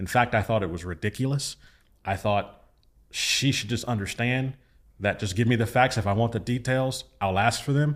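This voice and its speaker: On a very clean recording with a silent background, a man with a normal speaking voice talks at a medium pitch and moderate pace, his pitch varying in an ordinary way. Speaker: pastor. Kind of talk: casual chat.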